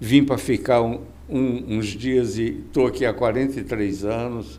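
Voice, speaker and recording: Amid audible room echo, a man talks at a fairly slow pace in a medium-pitched voice with a dark, mellow tone. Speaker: podcast host. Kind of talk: interview.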